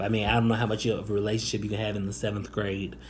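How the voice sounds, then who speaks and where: This man speaks with an American accent. Audible room echo surrounds his voice. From Northwest Indiana / Chicago area, US Midwest. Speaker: YouTuber. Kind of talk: personal testimony. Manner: halting, many fillers.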